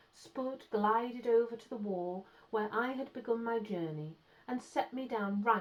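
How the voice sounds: Ordinary pitch variation across a natural reading voice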